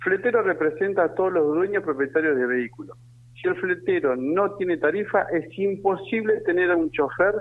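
This man's voice sits at a high pitch. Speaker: trade union leader. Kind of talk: radio interview. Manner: animated.

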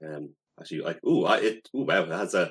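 This man speaks with a Dublin accent. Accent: Dublin Irish. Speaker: podcast co-host. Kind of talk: casual chat. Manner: halting.

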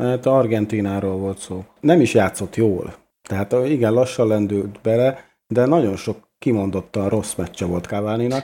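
A man's dark, mellow voice sits at a fairly low pitch. He talks fairly slowly, and his pitch varies in an ordinary way. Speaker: podcast co-host. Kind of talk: casual chat.

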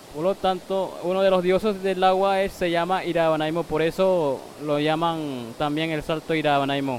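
A man's high-pitched voice with fairly even intonation and hardly any pauses. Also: moderate pace. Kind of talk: on-location interview. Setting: outdoors by a waterfall.

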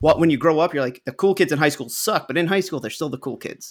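This speaker talks at a very fast pace with ordinary pitch variation and a slight New York accent. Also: man. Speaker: podcast co-host. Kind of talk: casual comedic movie discussion podcast.

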